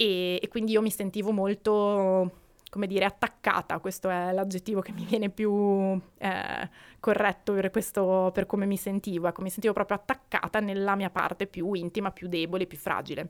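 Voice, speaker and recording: On a very clean recording with a silent background and a dry, close sound with no echo, a woman talks at a moderate pace in a monotone, flat intonation. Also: medium pitch for a woman. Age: 20s. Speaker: researcher and podcast co-host. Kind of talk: personal testimony.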